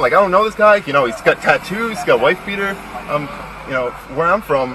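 Over noticeable background noise, a man's voice comes through dry, with no echo. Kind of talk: explaining to officers. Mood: scared, defensive. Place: car. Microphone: camera far.

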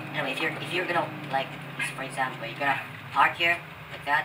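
Someone speaks at a very fast pace with a Filipino accent. Noticeable background noise runs underneath. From Philippines. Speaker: gaming YouTuber. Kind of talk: gameplay commentary. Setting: poor-quality microphone. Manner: casual, profane.

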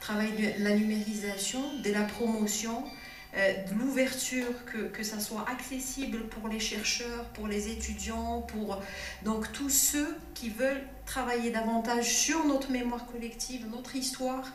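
Speaking at a fairly slow pace, a woman is heard with audible room echo and light background noise. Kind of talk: formal speech. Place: hall.

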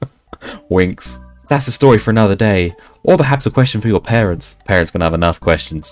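An unforced reading voice moves along with lively intonation.

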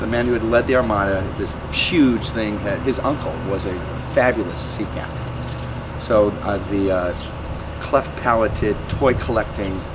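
Noticeable background noise sits behind this man. He talks at a moderate pace with an American accent. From US Midwest, northern Illinois. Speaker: renaissance festival performer. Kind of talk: interview. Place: street.

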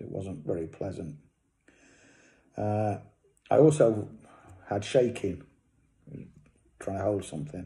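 A man with an East Midlands accent speaks at a fairly slow pace. His tone is dark, mellow and somewhat breathy. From England. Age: 60s. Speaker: cancer patient. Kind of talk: casual talk to camera. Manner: hesitant. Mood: calm, matter-of-fact. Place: home room. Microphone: phone near.

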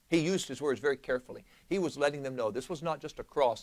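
The clip features an ordinary speaking voice with lively intonation. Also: man. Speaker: pastor teaching Bible study. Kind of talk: Bible study teaching. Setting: church, live-streamed. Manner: conversational, interactive with audience.

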